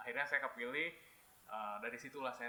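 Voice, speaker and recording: This is a man speaking at a medium pitch. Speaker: English teacher. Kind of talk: podcast interview. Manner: hesitant fillers.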